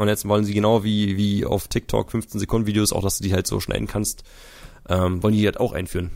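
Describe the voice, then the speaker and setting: Fairly quick, fairly low-pitched speech from a man in a monotone, flat intonation, on a very clean recording with a silent background. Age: 20s. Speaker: YouTuber. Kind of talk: casual chat.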